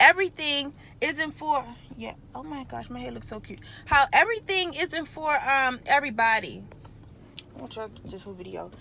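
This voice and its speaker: The voice is raised and projected. Its pitch makes very wide swings. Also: woman. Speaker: vlogger. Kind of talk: casual live stream monologue. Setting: in a car. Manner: rambling, chatty with many fillers.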